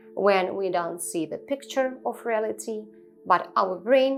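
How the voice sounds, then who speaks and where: A woman speaks at a fairly slow pace with a non-native accent. Music plays in the background. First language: not English. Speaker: spiritual teacher. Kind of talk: improvised spiritual talk to camera. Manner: halting, with many fillers.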